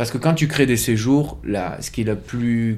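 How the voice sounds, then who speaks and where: A man speaks at a fairly slow pace with medium pitch and ordinary pitch variation. It is a normal speaking voice. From French Pyrenees. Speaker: yoga teacher and studio co-owner. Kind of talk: casual interview.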